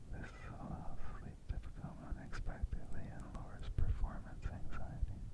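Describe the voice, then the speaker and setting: Whispering at a moderate pace, a man gets his words out. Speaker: ASMR artist. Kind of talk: ASMR informational narration. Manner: whispered; soft, gentle.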